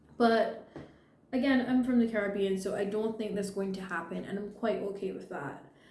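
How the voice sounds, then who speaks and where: Noticeable background noise and audible room echo surround a woman at medium pitch. She speaks at a moderate pace with fairly even intonation. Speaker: video blogger, social commentary. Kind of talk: unscripted personal commentary.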